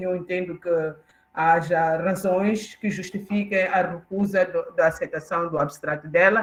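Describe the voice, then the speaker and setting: A woman with a medium-pitched, somewhat breathy voice talks fairly slowly. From Mozambique, southern, near Maputo. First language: Xangana (Tsonga) (speaking Portuguese). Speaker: professor, keynote speaker. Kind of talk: conference lecture. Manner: hesitant, many fillers.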